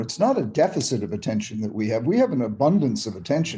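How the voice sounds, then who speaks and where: Somewhat breathy and dark, mellow in tone, a man at a medium pitch speaks at a very fast pace. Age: 70s. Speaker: psychiatrist. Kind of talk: interview. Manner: animated; halting.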